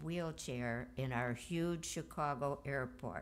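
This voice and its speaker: A woman's very slow delivery with vocal fry and ordinary pitch variation. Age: 80s+. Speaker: eulogy speaker, cousin of the deceased. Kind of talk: eulogy at memorial service. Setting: memorial service.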